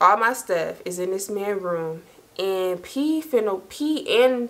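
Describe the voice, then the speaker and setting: A woman's voice sits at a fairly high pitch, with ordinary pitch variation. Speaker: storytime YouTuber. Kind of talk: casual storytelling monologue. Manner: animated.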